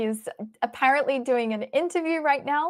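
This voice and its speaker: A high-pitched woman's voice with an Australian accent and lively intonation, on a very clean recording, silent background. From Australia, Melbourne. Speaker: chess stream commentator. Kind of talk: live stream chat, reading viewer questions.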